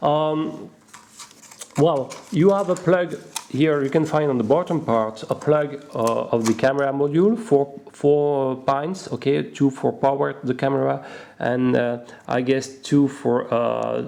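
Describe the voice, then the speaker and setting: With a non-native accent and noticeable background noise, a man speaks at a fairly slow pace in a fairly high pitch with ordinary pitch variation. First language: not English. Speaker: RC hobby product reviewer. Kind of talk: unboxing tutorial. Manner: halting, many fillers.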